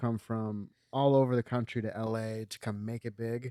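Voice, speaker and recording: Speaking with a Californian accent, a man talks at a medium pitch. The sound is dry and close with no echo, on a very clean recording with a silent background. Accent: Californian American English. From Los Angeles, US. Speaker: filmmaker. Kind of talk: casual chat. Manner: mumbling.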